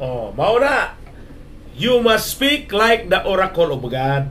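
Very slow speech from a man with a high pitch and very wide pitch swings, over light background noise. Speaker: preacher. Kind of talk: sermon on radio. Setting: radio broadcast. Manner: animated, exhortative, mixes English phrases. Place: studio.

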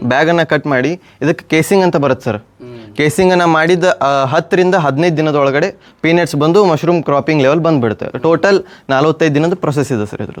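A man with a fairly high pitch. His pitch varies in an ordinary way. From North Karnataka, India (Jamkhandi, Bagalkot district). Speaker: young mushroom farmer. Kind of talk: interview.

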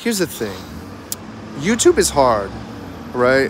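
Very wide pitch swings mark this slow-paced voice, heard over faint background noise. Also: man, medium pitch for a man.

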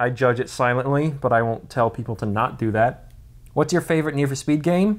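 A man talks in a plain, everyday voice with an American accent. He keeps a moderate pace and ordinary pitch variation. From grew up in many countries (US, South Africa, UK, Singapore, Netherlands). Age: 20s. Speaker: car YouTuber. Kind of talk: casual Q&A chat. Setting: on vacation in Washington State. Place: home room. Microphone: phone near.

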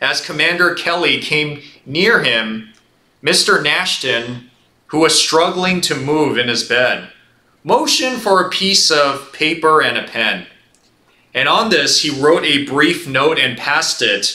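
A man speaks at a very slow pace, with audible room echo around him. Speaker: pastor. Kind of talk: sermon. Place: church. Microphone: lapel.

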